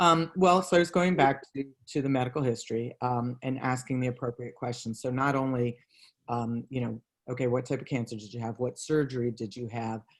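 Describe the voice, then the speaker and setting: A man has an unremarkable speaking voice at a medium pitch with ordinary pitch variation. He talks at a fairly quick pace. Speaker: cancer exercise trainer. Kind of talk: live webinar lecture. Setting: live stream video call.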